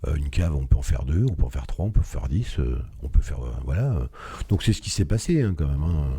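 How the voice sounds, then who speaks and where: A man with a very deep, low pitch talks at a fairly quick pace with lively intonation. Noticeable background noise is present. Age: 60s. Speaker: entrepreneur, business founder. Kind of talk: interview. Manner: hesitant, many fillers.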